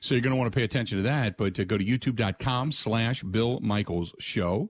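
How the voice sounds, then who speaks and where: This man has an unremarkable speaking voice at a medium pitch, delivered at a moderate pace. The sound is dry and close with no echo, on a very clean recording with a silent background. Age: 50s. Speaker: sports radio host. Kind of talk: casual sports talk radio. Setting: studio.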